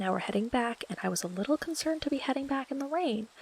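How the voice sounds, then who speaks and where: A woman's somewhat breathy voice at a very fast pace, lively in intonation, with a dry, close sound and no echo. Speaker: Minecraft let's play YouTuber. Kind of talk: casual talk to camera, gameplay commentary.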